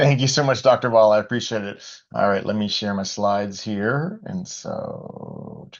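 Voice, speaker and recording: Here a man talks at a medium pitch. His intonation is lively. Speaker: family physician. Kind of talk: webinar presentation. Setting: video call webinar. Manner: fast.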